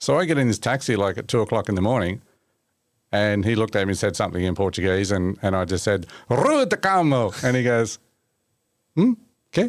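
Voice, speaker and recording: Using an Australian accent, a man talks at a fairly quick pace with long, frequent pauses, ordinary pitch variation and very even loudness. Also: fairly low pitch for a man. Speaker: mechanic and motorsport journalist. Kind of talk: casual chat. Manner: animated storytelling.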